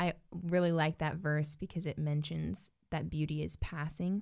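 Her pitch is very deep and low for a woman. She speaks with hardly any pauses. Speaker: podcast co-host. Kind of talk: casual chat. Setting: studio.

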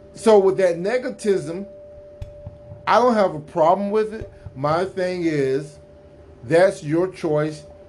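A man with an American accent speaks at a very slow pace in a high pitch with ordinary pitch variation. His long, frequent pauses sit over noticeable background noise. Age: 50s. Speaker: podcaster, military veteran. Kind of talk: solo monologue commentary. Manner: casual, conversational.

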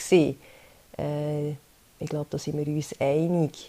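In a Swiss accent, a woman talks at a very slow pace, her very deep, low voice dark and mellow and her intonation flat and monotone. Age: 30s. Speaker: podcast host, social insurance educator. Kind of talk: solo explainer podcast. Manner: hesitant, many fillers.

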